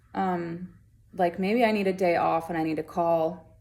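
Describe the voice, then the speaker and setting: A woman speaks at a moderate pace in a fairly low voice with vocal fry. Her pitch varies in an ordinary way. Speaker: wellness vlogger. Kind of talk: casual talk to camera.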